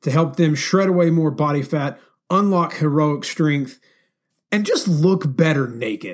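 Fairly high-pitched male voice with an American accent, a normal speaking voice, fairly even intonation and a moderate pace. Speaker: podcast host. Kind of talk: casual interview chat.

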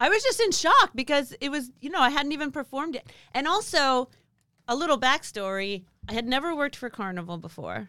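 A woman's raised, projected voice, high and bright, sharp in tone, with very wide pitch swings, a fairly quick pace and an American accent, on a very clean recording with a silent background. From Southern California, Pasadena area. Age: 40s. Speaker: stand-up comedian. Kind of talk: casual chat.

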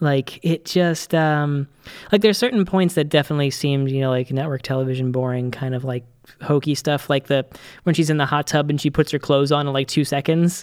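With an ordinary speaking voice, a man speaks at a fairly high pitch and with ordinary pitch variation. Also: fairly quick pace, dry, close sound with no echo, very clean recording, silent background. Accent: American. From Boston, US. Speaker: podcast co-host. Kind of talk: casual chat.

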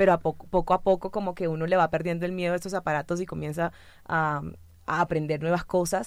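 Very fast and flat, a woman speaks in a monotone at a fairly low pitch on a very clean recording with a silent background. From Colombian Caribbean coast, Santa Marta. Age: 20s. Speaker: social communicator and natural cosmetics entrepreneur. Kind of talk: radio panel conversation. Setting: radio studio.

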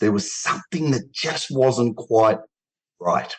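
A man's medium-pitched voice in an Australian accent. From Australia, Melbourne. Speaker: men's health advocate, cancer survivor. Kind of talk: interview.

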